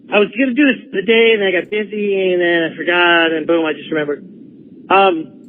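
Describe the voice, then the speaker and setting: The delivery is animated, at a fairly quick pace with ordinary pitch variation. Noticeable background noise can be heard. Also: man, high pitch for a man. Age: 50s. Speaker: caller. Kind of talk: phone-in chat.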